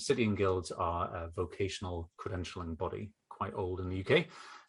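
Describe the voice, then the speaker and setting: Against a quiet background, a man with a northeast English accent speaks in a somewhat breathy, fairly low voice. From northeast England. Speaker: educational technology consultant. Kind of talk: podcast interview.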